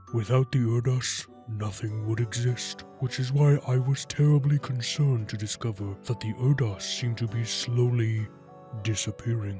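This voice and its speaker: A man's put-on character voice at medium pitch and moderate pace, with clear music in the background. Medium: audio drama. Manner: calm, solemn.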